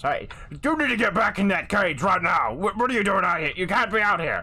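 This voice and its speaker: A gruff put-on character voice at a middle pitch, fairly quick in pace, over light background noise. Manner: stern, commanding.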